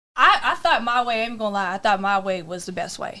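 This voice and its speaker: A woman speaks loudly with a bright, sharp tone. Her delivery is animated. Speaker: podcast host. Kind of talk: casual chat.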